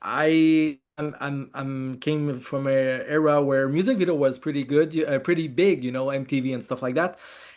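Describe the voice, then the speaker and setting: Against a quiet background, a man with a French Canadian accent speaks at a fairly high pitch with fairly even intonation. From Quebec, Montreal. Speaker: film director. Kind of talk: interview. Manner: halting.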